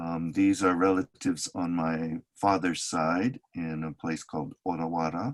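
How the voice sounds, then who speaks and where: A man speaks at a fairly slow pace. He barely pauses at all. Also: fairly even intonation. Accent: American. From California, Oakland. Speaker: neuroscientist and community activist. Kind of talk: interview conversation. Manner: halting.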